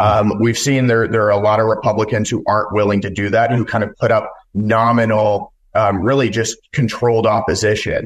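Fairly low and monotone with flat intonation, a man with an American accent moves at a fairly quick pace. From West Texas. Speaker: congressional candidate and news publisher. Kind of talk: interview.

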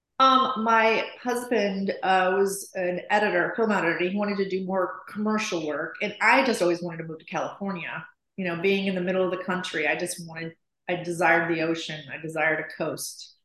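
Speaking in a normal speaking voice with an American accent, a woman keeps a fairly quick pace at medium pitch, with ordinary pitch variation and big swings in loudness. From US Midwest, Chicago. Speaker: interior designer. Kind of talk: interview.

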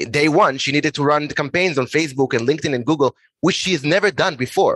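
A man talks at a very fast pace. The sound is dry and close, with no echo. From Israel. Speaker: startup founder and CEO. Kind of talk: interview.

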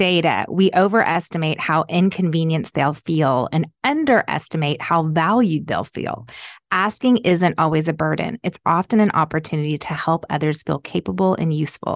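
At a moderate pace and fairly low pitch, a woman with ordinary pitch variation has an unremarkable speaking voice over a quiet background. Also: dry, close sound with no echo. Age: 40s. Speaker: fashion company founder. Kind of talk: casual chat.

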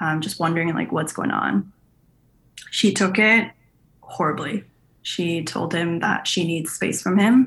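A woman with vocal fry speaks at a fairly low pitch and fairly slow pace, with lively intonation and long, frequent pauses. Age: 20s. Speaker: podcast caller with relationship question. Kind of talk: personal story told on a call-in podcast.

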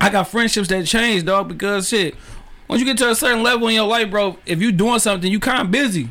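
A man with a high pitch and a raised, projected voice at a very fast pace, with very even loudness. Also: ordinary pitch variation. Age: 30s. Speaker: podcast host. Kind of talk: casual interview chat. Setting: studio.

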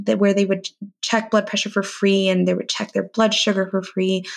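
A woman speaks with a Californian accent. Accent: Californian American English. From US, East Bay, California. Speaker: registered dietitian. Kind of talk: interview.

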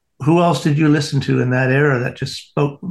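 A man's fairly high, somewhat breathy voice with a Canadian accent, fairly quick pace, and ordinary pitch variation. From Canada. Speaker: podcast co-host, graphic artist. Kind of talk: casual interview chat.

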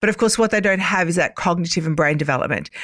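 A woman speaks with an Australian accent at a fairly low pitch, using ordinary pitch variation. The recording is very clean with a silent background. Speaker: cyber safety educator, former police officer. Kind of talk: interview.

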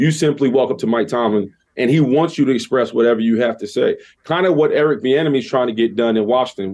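A man with an American accent and medium pitch speaks at a fairly quick pace. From New York City, the Bronx. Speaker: former NFL player, radio co-host. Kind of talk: interview. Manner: halting, repeated words.

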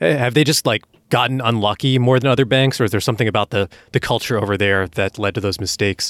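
A man talks very fast at a medium pitch with ordinary pitch variation. His loudness stays very even, and the sound is dry and close with no echo. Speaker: podcast co-host and editor. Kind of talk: podcast interview.

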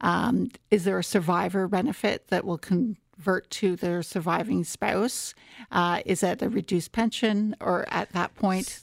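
A woman with a Canadian accent and vocal fry speaks at a medium pitch and a fairly slow pace with ordinary pitch variation, in a very clean recording with a silent background and a dry, close sound with no echo. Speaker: tax and retirement researcher. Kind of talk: expert interview.

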